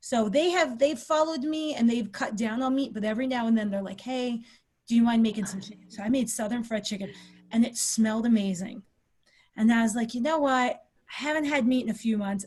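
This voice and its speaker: A woman with a plain, everyday voice talks at a fairly quick pace. Her pitch is fairly high, with ordinary pitch variation. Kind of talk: casual podcast interview conversation.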